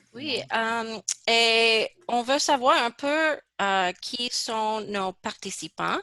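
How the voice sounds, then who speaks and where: A woman speaks at a very slow pace in a bright, sharp tone with ordinary pitch variation. The sound is dry and close, with no echo. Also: fairly high pitch for a woman. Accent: English. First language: English (speaking French). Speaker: research project coordinator. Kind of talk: webinar presentation. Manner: halting.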